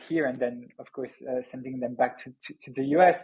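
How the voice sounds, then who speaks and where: A man speaks at a moderate pace with a French accent. His voice sits fairly high. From France. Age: 30s. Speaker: startup founder and CEO. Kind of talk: podcast interview. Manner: halting, repeats words.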